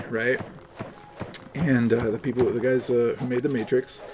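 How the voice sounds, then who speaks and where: Over noticeable background noise, a man with a medium-pitched voice speaks at a fairly slow pace. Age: 30s. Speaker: streamer. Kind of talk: casual chat while gaming.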